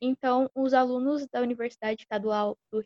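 The sound is dry and close with no echo as a woman with a high pitch talks at a moderate pace and fairly even intonation. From São Paulo state, Brazil. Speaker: physical education student and flag football player. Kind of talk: podcast interview.

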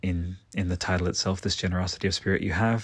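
In a very clean recording with a silent background, a man talks at a fairly quick pace in an animated tone, his pitch very deep and low. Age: 30s. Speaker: solo podcast host reviewing video games. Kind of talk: solo monologue game review. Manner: animated, frequent fillers and restarts.

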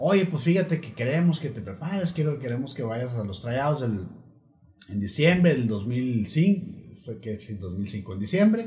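A man's somewhat breathy voice with a dark, mellow tone, medium pitch, very wide pitch swings, big swings in loudness, a fairly slow pace and hardly any pauses. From Torreón, Coahuila, northern Mexico. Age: 40s. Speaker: former American football player. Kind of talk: casual interview chat. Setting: host's home.

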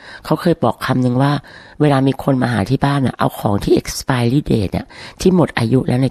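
A woman speaks in a very deep, low pitch with a dark, mellow tone, ordinary pitch variation and very even loudness, the sound dry and close with no echo. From Thailand. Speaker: domestic violence survivor. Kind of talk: interview testimony.

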